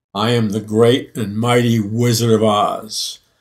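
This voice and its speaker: A man puts on a booming character voice at medium pitch. He speaks fairly slowly in a monotone, flat intonation. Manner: grand, imposing.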